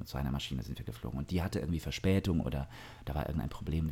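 A man with a very deep, low pitch and a dark, mellow tone speaks with vocal fry and ordinary pitch variation. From southern Germany, Augsburg. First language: Russian (speaking German). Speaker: singer and actor. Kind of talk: casual interview. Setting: indoors by an open terrace door.

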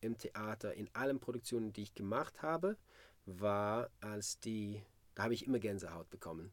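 A man with a Swedish accent talks at a fairly slow pace and medium pitch. His pitch varies in an ordinary way, on a very clean recording with a silent background. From Sweden, Malmö. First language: Swedish (speaking German). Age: 40s. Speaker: musical performer. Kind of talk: interview. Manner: halting.

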